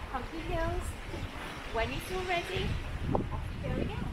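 A woman's voice with ordinary pitch variation against loud background noise. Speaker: fitness instructor. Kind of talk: exercise class instruction. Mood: warm, encouraging. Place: beach.

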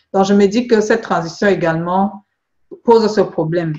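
A woman talks at a fairly slow pace with fairly even intonation. She has an ordinary speaking voice. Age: 40s. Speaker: beauty product seller and skin consultant. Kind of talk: phone consultation. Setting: phone call.

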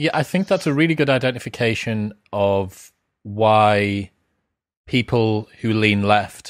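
A man with a British accent at a fairly low pitch, with very even loudness, ordinary pitch variation, a fairly slow pace and long, frequent pauses, in a dry sound with no echo over a quiet background. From UK. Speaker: podcast host. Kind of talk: interview conversation. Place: home room. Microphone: studio mic.

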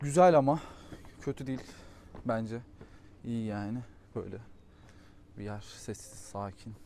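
At a fairly slow pace, a man with a medium pitch and ordinary pitch variation shows big swings in loudness, the sound dry with no echo and light background noise behind him. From Turkey. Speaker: travel vlogger. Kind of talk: casual vlog narration.

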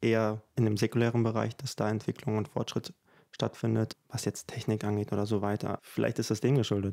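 Here a man talks at a moderate pace in a fairly low pitch, his tone dark and mellow. His delivery is monotone and flat, over a quiet background. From Ukraine. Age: 20s. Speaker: composer and singer; guest. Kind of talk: interview conversation. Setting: at his home. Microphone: studio mic.

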